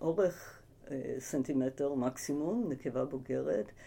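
Slowly, very slowly, a woman speaks in a dark, mellow tone. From United States, moved to Israel at eight. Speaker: ecologist professor. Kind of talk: interview. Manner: hesitant with fillers.

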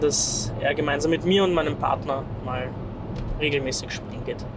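A man with a fairly high voice talks in a space with audible room echo and noticeable background noise. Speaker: podcast co-host. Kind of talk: casual chat. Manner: talks very high when excited.

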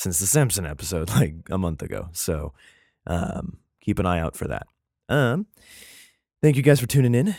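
A quiet man with a very deep, low pitch makes very wide pitch swings at a moderate pace. He takes long, frequent pauses in a very clean recording with a silent background. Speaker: podcast host. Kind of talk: casual chat. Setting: at home, early morning. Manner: quiet, subdued; casual, filler-heavy.

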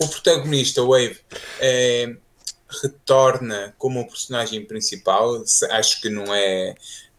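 A man speaks at medium pitch with ordinary pitch variation. His pace is fairly slow, with long, frequent pauses. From Portugal, Trás-os-Montes area. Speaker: video game industry guest. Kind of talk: casual chat.

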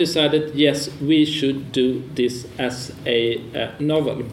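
A man in a Swedish accent with a fairly high pitch and fairly even intonation, plus noticeable background noise and audible room echo. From Sweden. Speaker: publisher and moderator. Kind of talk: panel moderation. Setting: stage with audience.

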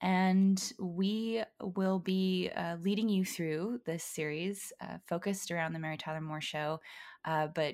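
A fairly slow, fairly evenly intoned voice with a Californian accent, on a very clean recording with a silent background. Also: woman. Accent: Californian American. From Los Angeles suburbs (Valencia). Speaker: podcast host, ex-ballerina, digital producer. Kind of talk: casual chat.

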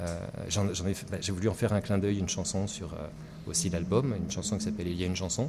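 Very deep, low male voice, dark and mellow in tone, somewhat breathy, at a fairly quick pace. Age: middle-aged. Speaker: singer-songwriter. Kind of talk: radio interview. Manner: animated.

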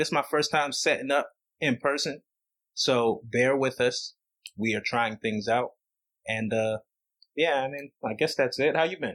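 At a moderate pace, a man with an unremarkable speaking voice and fairly high pitch keeps his intonation fairly even. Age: 30s. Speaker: podcast host. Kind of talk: casual chat.

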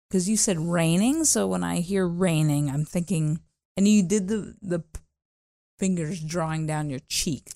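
Over a silent background in a very clean recording, a woman with a Canadian accent and an unremarkable speaking voice talks fairly slowly at a fairly low pitch with ordinary pitch variation. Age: 40s. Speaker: radio co-host. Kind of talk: casual chat.

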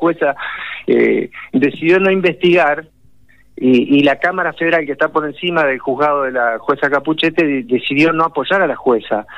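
A man talking at a moderate pace. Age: 40s. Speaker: political commentator. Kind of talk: phone interview. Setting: phone call. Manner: halting.

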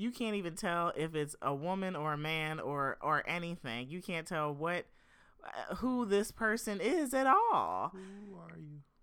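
With an American accent, a woman has a normal speaking voice, fairly low in pitch, and talks at a fairly slow pace with lively intonation and big swings in loudness. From Philadelphia area, South Jersey. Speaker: podcast co-host, singer-songwriter. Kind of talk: casual chat.

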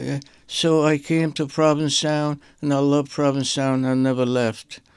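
A fairly high-pitched man with a strong Syrian accent at a moderate pace, on a very clean recording with a silent background. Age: 80s. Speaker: visual artist. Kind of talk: radio interview. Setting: studio.

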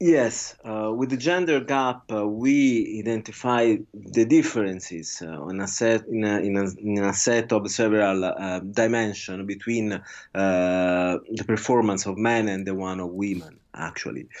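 A man with an Italian accent, fairly low pitch, a fairly slow pace and hardly any pauses. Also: ordinary pitch variation. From Italy. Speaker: researcher. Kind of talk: interview. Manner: halting.

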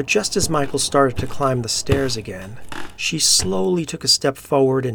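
An unforced reading voice carries intonation that moves in a lively way.

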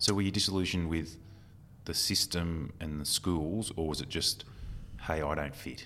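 Speaking with an Australian accent, this man has a very deep, low pitch. He moves at a moderate pace with ordinary pitch variation. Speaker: podcast host and recruiter. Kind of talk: casual interview.

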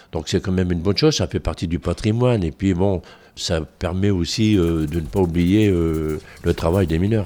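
This man's voice is very deep and low, with a dark, mellow tone, ordinary pitch variation and a moderate pace. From northern France. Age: 60s. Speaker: retired coal miner and museum guide. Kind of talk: interview testimony.

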